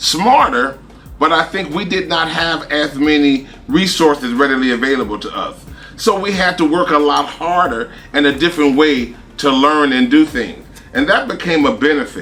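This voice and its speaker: A man talks at a moderate pace with a fairly high pitch and ordinary pitch variation. Noticeable background noise is present. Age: 60s. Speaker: professor. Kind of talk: panel discussion.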